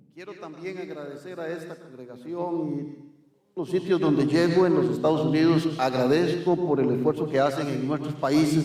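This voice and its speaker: A man talks at a moderate pace with a fairly high pitch, fairly even intonation and big swings in loudness. Noticeable background noise and audible room echo fill the recording. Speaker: visiting preacher. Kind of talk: sermon with interpreter. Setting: church.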